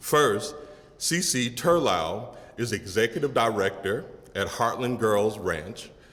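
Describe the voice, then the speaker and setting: Noticeable background noise sits behind a man's voice of medium pitch. His intonation is lively, though his pace is very slow. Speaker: college dean. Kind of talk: speech.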